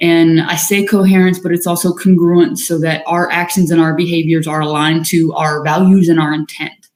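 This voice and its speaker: A woman's fairly low voice with monotone, flat intonation. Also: hardly any pauses. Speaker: leadership coach. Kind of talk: live-streamed workshop talk; guided breathing practice. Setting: livestream. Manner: fast.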